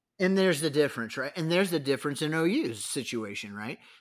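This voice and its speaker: In a very clean recording with a silent background, a man with an American accent speaks very fast with lively intonation. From San Diego, California. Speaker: college football commentator. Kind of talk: casual chat. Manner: animated.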